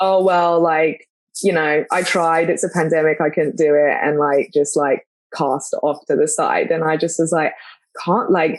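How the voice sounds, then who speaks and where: A woman is speaking. She has a London accent. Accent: London English, noticeable in US. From London, England. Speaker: podcast co-host, mother. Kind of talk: casual chat. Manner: rambling with many fillers and false starts.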